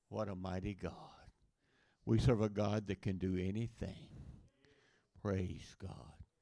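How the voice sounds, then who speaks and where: Taking long, frequent pauses, a man with a very deep, low pitch, a dark, mellow tone and vocal fry speaks at a fairly slow pace with ordinary pitch variation. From Louisiana, US South. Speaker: missionary preacher. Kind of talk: sermon. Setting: church.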